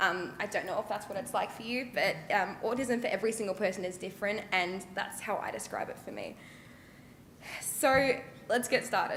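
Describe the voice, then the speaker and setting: A woman with an Australian accent speaks at a medium pitch and moderate pace, with ordinary pitch variation. Noticeable background noise and audible room echo fill the recording. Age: 20s. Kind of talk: public talk. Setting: stage with audience.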